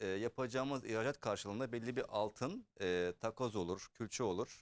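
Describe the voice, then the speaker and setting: On a very clean recording with a silent background and a dry, close sound with no echo, a man speaks fairly slowly in an unremarkable speaking voice. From Germany. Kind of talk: casual interview.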